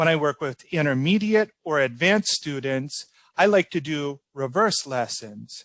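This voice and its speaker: With a dry, close sound and no echo, a man with a fairly high pitch and ordinary pitch variation talks at a fairly slow pace in a normal speaking voice. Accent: General American. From Orlando, Florida, United States. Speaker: ESL teacher. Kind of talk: interview answer.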